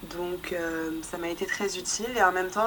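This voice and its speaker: Against noticeable background noise, a woman talks at a fairly slow pace with medium pitch. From Paris, France. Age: 20s. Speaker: humanitarian worker. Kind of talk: interview. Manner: hesitant.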